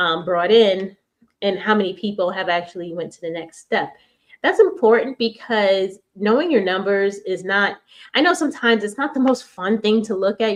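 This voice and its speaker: A woman with an American accent in an unremarkable speaking voice, medium pitch with ordinary pitch variation, a fairly quick pace and big swings in loudness. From New York. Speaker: business speaker. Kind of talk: presentation.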